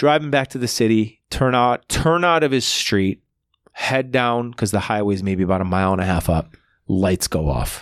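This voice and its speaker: A man with a normal speaking voice at a moderate pace, in a very clean recording with a silent background and a dry, close sound with no echo. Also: fairly low pitch for a man. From Buffalo, New York. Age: 40s. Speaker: comedian. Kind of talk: casual chat.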